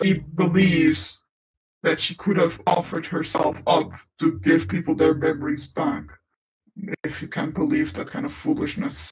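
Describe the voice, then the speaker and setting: Using a put-on character voice, a man speaks at a fairly high pitch and a moderate pace. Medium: audio drama. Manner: formal, measured.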